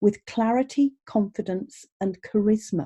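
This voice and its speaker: A woman's somewhat breathy voice, dark and mellow in tone, at a fairly high pitch and a fairly slow pace. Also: dry, close sound with no echo. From Birmingham, English Midlands. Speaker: podcast host, vocal coach. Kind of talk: podcast interview. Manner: animated.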